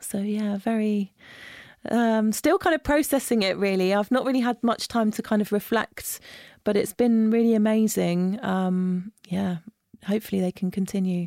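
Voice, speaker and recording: In a southern English accent, a woman speaks at a moderate pace and a fairly high pitch with a dark, mellow tone and ordinary pitch variation, in a very clean, dry, close recording with no echo and a silent background. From Isle of Wight, southern England. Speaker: studio booking manager. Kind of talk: interview. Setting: recording studio.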